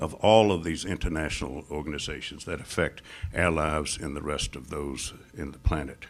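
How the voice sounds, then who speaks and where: This speaker has an American accent and vocal fry. The pace is moderate and the pitch variation ordinary. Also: man. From United States. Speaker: Middle East scholar. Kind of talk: lecture. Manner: formal.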